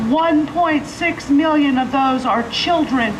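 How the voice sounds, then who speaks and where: A woman's high-pitched voice, fairly slow and fairly even in intonation, with audible room echo and noticeable background noise. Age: 50s. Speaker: nurse. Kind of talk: testimony.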